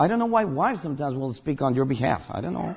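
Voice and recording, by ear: A man talks fast at a fairly high pitch, with a husky, rough edge, vocal fry, a slightly mellow tone and big pitch swings.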